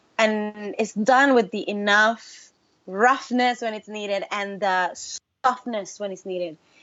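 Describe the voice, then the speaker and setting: A woman speaks in a Spanish accent at a fairly high pitch and a fairly slow pace. Her tone is animated, with big swings in loudness. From Puerto Rico. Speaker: singer-songwriter. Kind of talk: interview.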